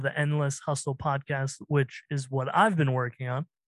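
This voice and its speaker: With an ordinary speaking voice, a man at a fairly high pitch talks at a moderate pace in a dry, close sound with no echo and a quiet background. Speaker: podcast editor and producer. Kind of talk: casual chat.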